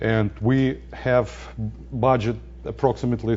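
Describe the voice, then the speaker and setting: A man with a non-native accent speaks over background music, and room echo is audible. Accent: foreign accent, joking about it. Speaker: data center scientist. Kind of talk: lecture. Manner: halting, many fillers.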